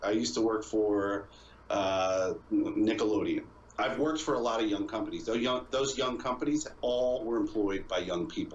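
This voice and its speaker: A man at a moderate pace and very even loudness, with audible room echo and noticeable background noise. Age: 30s. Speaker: video game streamer. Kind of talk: casual podcast interview chat.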